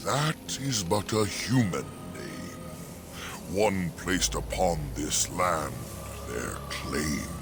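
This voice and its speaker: Using a put-on character voice, a man speaks very slowly at a very deep, low pitch, with long, frequent pauses over loud background noise. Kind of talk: archaic fairy-tale verse. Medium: video game. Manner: rhyming, archaic speech.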